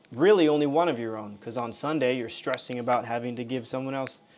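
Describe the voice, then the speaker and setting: The voice has an American accent. Its pitch varies an ordinary amount. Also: man. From Las Vegas, US West. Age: 30s. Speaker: crypto livestreamer. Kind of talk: casual livestream chat with viewers. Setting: live stream. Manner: casual, halting with restarts.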